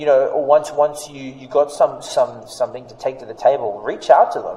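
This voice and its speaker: Noticeable background noise runs under a man speaking with an Australian accent. His pitch swings very widely at a moderate pace. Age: 30s. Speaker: international speaker and social proof consultant. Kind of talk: casual interview chat.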